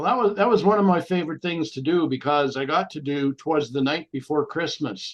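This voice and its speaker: Talking at a fairly quick pace with hardly any pauses, a man with a Canadian accent uses lively intonation. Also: fairly high pitch for a man. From Canada, eastern Ontario (Cornwall). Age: 60s. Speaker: actor and voice actor. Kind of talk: interview conversation. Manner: halting.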